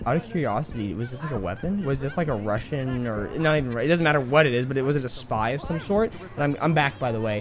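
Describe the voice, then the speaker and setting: A man at medium pitch, very fast with hardly any pauses and lively intonation, amid audible room echo and noticeable background noise. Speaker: gaming YouTuber. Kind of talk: let's play commentary. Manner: animated.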